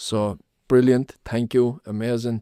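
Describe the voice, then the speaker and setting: On a dry, close recording with no echo, a man speaks at a very slow pace in a medium pitch, his tone dark and mellow and his intonation monotone and flat. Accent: Limerick. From Ireland, Limerick. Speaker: professional boxer. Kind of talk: podcast interview.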